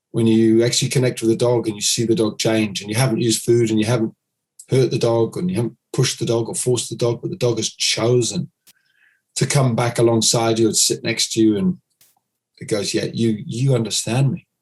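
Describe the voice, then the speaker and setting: A man with a somewhat breathy, medium-pitched voice talks at a fairly quick pace. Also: ordinary pitch variation. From United Kingdom. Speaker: dog trainer. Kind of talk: podcast interview.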